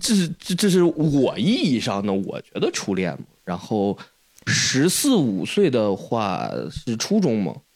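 At a very slow pace, a man with medium pitch and vocal fry makes very wide pitch swings and big swings in loudness. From Henan, Jiaozuo. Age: 20s. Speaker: podcast co-host. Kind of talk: casual chat. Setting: at host's home.

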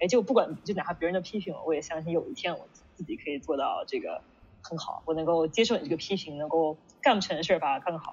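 A woman talks at a very fast pace with lively intonation. Her voice is somewhat breathy and fairly low in pitch. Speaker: management consultant, interviewer. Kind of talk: casual interview conversation. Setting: online video call event.

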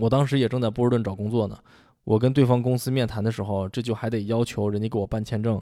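Very fast speech from a man with a medium pitch and a dark, mellow tone. The recording is very clean, with a silent background. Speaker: podcast host. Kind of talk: scripted monologue. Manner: animated.

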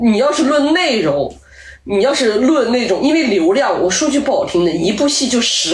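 The delivery is animated and comes at a moderate pace. Noticeable background noise can be heard. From not from Beijing. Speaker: podcast guest, entertainment commentator. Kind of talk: casual chat.

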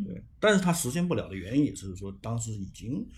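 A man with a medium pitch uses lively intonation, his voice carrying vocal fry. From Fushun, northeast China. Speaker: writer. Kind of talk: interview.

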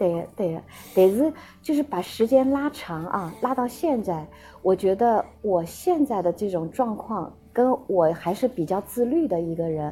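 In a dark, mellow tone that is somewhat breathy, the speaker moves at a fairly slow pace with very wide pitch swings. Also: woman, medium pitch for a woman. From Shanghai and Xinjiang. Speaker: guest sharing life story. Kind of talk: casual interview.

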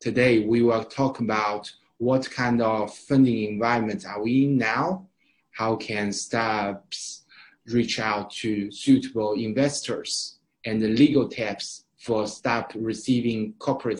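A man with a Chinese accent speaks at a fairly slow pace, his medium pitch carried by fairly even intonation. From Shanghai, China. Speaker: event host, startup accelerator staff. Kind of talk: webinar moderation. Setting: online webinar. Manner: halting, many fillers.

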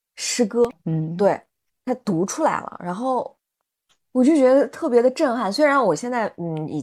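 Her pitch rises and falls across a very wide range as a woman speaks at a moderate speed. Behind her, all is quiet. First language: not Chinese (speaking Chinese). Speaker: podcast host, mother and educator. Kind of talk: casual chat.

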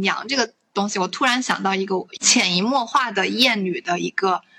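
A woman speaks at a moderate pace in a fairly high pitch, using a plain, everyday voice. Her pitch variation is ordinary. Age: 20s. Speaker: podcast host. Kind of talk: casual chat.

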